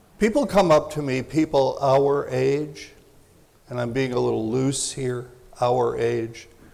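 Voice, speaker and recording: A fairly slow pace, with noticeable background noise and audible room echo. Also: man. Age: 70s. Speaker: parenting expert and speaker. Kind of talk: lecture.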